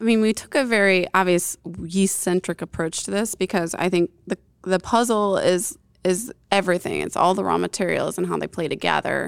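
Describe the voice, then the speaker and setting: Dry and close with no echo, the very clean recording over a silent background carries a plain, everyday voice with fairly even intonation. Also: woman, medium pitch for a woman, fairly quick pace. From upstate New York. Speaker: yeast scientist. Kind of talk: casual interview.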